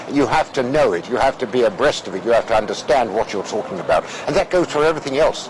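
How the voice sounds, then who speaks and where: A man with a British accent speaks with ordinary pitch variation over noticeable background noise. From Russia. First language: Russian. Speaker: former interpreter. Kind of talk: interview. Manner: hesitant, many fillers and repetitions.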